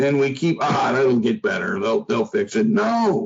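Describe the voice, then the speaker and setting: A man with a plain, everyday voice, lively intonation and a fairly slow pace. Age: 60s. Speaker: foreign policy expert. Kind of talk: interview.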